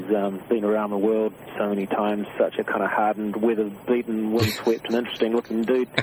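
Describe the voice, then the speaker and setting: Very fast, monotone, flat speech from a fairly low-pitched man with a New Zealand accent, with hardly any pauses and noticeable background noise. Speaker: singer-songwriter. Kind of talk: radio interview answer. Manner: casual, laid-back.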